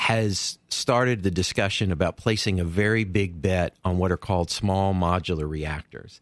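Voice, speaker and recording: In a very clean, dry, close recording with no echo and a silent background, a man with an American accent speaks at a very deep, low pitch and a moderate pace, with fairly even intonation and hardly any pauses. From Tennessee. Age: 60s. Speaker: clean energy advocate. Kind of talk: interview.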